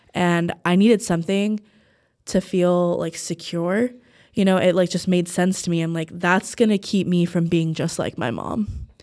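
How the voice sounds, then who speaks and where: With an American accent and an ordinary speaking voice, a woman talks at a moderate pace with fairly even intonation on a very clean recording with a silent background. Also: fairly low pitch for a woman. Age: 20s. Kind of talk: casual chat.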